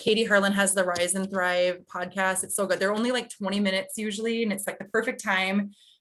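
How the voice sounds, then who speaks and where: A woman's voice at medium pitch with ordinary pitch variation, against a quiet background. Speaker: direct sales team leader. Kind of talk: team video call training. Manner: fast; energetic.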